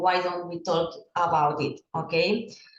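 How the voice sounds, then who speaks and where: Audible room echo hangs on the voice. The pace is fairly slow. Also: woman. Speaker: school psychologist and swimming coach. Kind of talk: presentation. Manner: halting, with frequent fillers.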